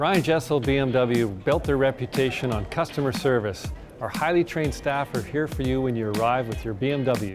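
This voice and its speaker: Clear music plays in the background. A man speaks at a moderate pace with ordinary pitch variation. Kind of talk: promotional tour presentation. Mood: upbeat, smiling. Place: shop. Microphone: lapel.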